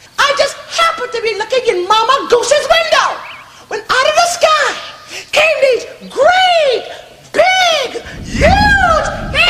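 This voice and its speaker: Shouting in a squeaky, put-on character voice at extremely high pitch, the speaker goes at a fairly slow pace with long, frequent pauses. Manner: obnoxious, excitable.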